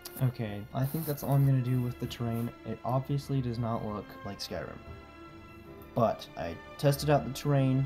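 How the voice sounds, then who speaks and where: A man talks in a mid-range pitch while music plays behind him. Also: ordinary pitch variation, moderate pace. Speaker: Roblox game builder. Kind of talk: casual build commentary.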